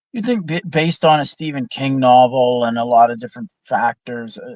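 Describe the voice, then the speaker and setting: A man with a Canadian accent speaks in a plain, everyday voice at medium pitch and a moderate pace. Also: dry, close sound with no echo. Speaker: film discussion guest. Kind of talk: casual chat.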